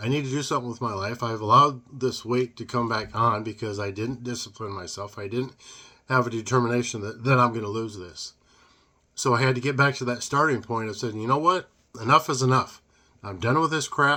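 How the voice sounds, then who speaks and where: On a very clean recording with a silent background, a man's voice sounds bright and sharp, with ordinary pitch variation. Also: medium pitch for a man, fairly quick pace. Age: 60s. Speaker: podcast host. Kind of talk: motivational monologue. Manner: casual, conversational.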